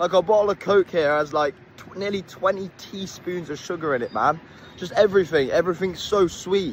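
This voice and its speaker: With a British accent, a man talks at a fairly quick pace in a high pitch, his pitch variation ordinary and his loudness swinging widely. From Britain. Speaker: travel vlogger. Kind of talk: casual vlog. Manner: animated.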